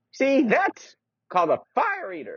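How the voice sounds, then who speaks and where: The voice is a put-on character voice. It belongs to a man and sits at an extremely high pitch. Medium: read story. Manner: doddering, forgetful.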